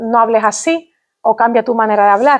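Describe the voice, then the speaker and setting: With an Andalusian accent, a woman speaks with ordinary pitch variation. The background is quiet. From Andalusia, Spain. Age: young. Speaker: linguistics professor. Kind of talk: public lecture. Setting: stage with audience. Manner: formal.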